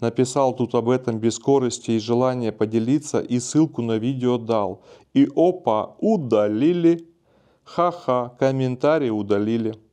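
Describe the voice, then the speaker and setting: Against a quiet background, a man speaks very slowly in a medium-pitched voice with a dark, mellow tone. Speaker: video blogger on spirituality and self-development; video blogger on spirituality. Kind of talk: casual monologue answering viewer comments. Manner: calm, relaxed. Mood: calm, warm, relaxed. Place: studio. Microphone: lapel.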